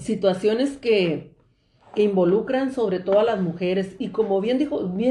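A woman's dark, mellow tone sits at a medium pitch with ordinary pitch variation. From Mexicali Valley, Baja California, Mexico. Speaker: lawyer and teacher. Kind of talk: interview on women's rights.

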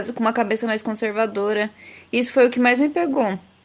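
Here is an ordinary speaking voice. The pace runs fairly quick. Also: woman. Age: 20s. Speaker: advertising student and intern. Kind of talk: casual chat.

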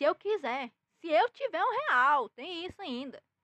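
A woman speaks in a raised, projected voice, animated and with a bright, sharp tone, in a dry, close sound with no echo. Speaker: comedy news podcast host. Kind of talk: casual comedic news monologue.

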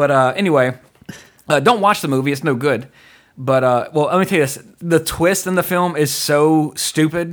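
With a Louisiana accent, a man speaks in an animated tone at a moderate pace. His pitch is fairly high, with ordinary pitch variation. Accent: Southern US, Louisiana. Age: 30s. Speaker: podcast host. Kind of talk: casual chat, podcast discussion. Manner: animated, jokey.

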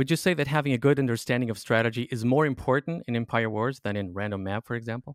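Very fast and medium-pitched, a man speaks with ordinary pitch variation in a dry, close recording with no echo that is very clean over a silent background. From Portugal. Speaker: podcast host. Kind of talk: interview.

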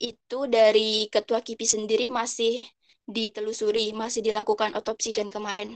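With a dry, close sound and no echo, a woman speaks at a moderate pace in a fairly high, flat, monotone voice. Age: 20s. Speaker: university student. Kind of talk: casual discussion. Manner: halting.

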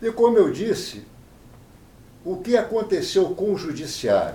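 The speech moves at a fairly slow pace, with very wide pitch swings. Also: man. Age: 70s. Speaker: appellate judge. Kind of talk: interview.

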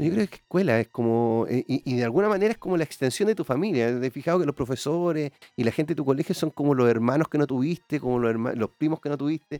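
Very fast and with hardly any pauses, a man talks in a fairly high-pitched, dark, mellow tone with lively intonation, the sound dry and close with no echo. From Chile, Quillota (Valparaíso region). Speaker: musician, band member. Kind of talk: casual interview chat. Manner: hesitant, repeats words.

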